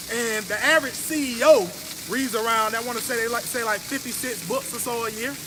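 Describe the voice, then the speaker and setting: A raised, projected voice at a fairly quick pace, with audible room echo and noticeable background noise. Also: man. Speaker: business coach. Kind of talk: live stream talk. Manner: loud.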